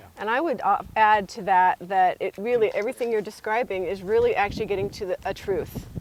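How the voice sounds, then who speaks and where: Over noticeable background noise, a woman talks at a fairly high pitch and a fairly quick pace. Her pitch variation is ordinary and she takes hardly any pauses. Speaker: spiritual coach. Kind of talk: casual chat. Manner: fast.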